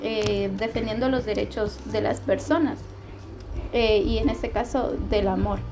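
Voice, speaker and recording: A woman speaks amid noticeable background noise, with audible room echo around her voice. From Honduras. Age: 20s. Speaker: journalism student. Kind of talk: casual chat.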